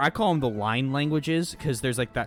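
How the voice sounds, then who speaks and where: Music plays in the background as a man talks with an American accent. His pitch varies in an ordinary way. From US Northeast (Philadelphia). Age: 20s. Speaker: video game streamer. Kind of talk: casual live-stream gaming chat. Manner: casual, halting with fillers.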